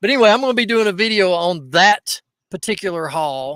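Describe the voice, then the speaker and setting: Raised, projected voice with an Appalachian accent, animated in tone and bright and sharp. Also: man, dry, close sound with no echo. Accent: Southern US (Appalachian). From East Tennessee, near Knoxville. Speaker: reseller podcast host. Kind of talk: casual chat. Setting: livestream.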